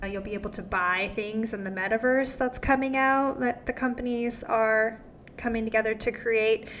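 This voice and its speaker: Here is a woman with an ordinary speaking voice. Her pitch is fairly high and her intonation fairly even. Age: 30s. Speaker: podcast host. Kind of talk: interview; scripted narration.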